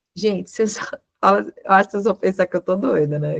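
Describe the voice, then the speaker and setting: A woman with a Minas Gerais accent talks at a moderate pace. The sound is dry and close, with no echo. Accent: Minas Gerais Brazilian Portuguese. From Minas Gerais, Brazil.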